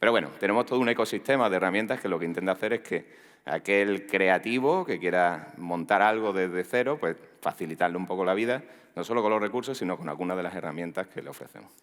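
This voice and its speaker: Very fast speech in an Andalusian accent, with ordinary pitch variation. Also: man, fairly low pitch for a man. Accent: Andalusian (Málaga). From Spain, Málaga (Andalusia). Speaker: tech executive, conference speaker. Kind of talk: conference talk. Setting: stage with audience. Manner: casual, joking.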